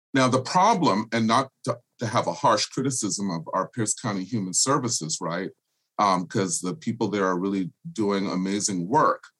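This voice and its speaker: It is a normal speaking voice with an American accent. The pace is moderate. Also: man, fairly low pitch for a man, lively intonation. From US South, Charleston, South Carolina (Gullah culture). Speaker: political candidate and nonprofit director. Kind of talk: interview.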